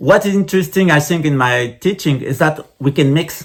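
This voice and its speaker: At a moderate pace, a man with a fairly high pitch and vocal fry speaks with very wide pitch swings. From France. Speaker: Buddhist lama, spiritual teacher. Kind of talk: lecture. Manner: halting, many hesitations.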